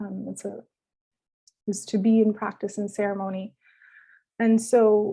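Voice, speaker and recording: Speaking at a fairly slow pace with long, frequent pauses, a woman has a medium-pitched, somewhat breathy voice with a dark, mellow tone. Her intonation is monotone and flat, though her loudness swings widely. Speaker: doctoral researcher, conference panelist. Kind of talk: conference presentation.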